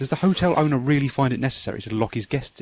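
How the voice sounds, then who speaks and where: Talking at a very fast pace with ordinary pitch variation, a man speaks with a British accent. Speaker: retro game reviewer. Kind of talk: video game review narration. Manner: some stuttering.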